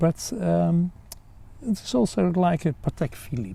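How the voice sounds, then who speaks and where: A man speaks at a fairly slow pace with a dark, mellow, somewhat breathy tone. His pitch swings very widely. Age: 60s. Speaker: father of the host, watch owner. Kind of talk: casual interview.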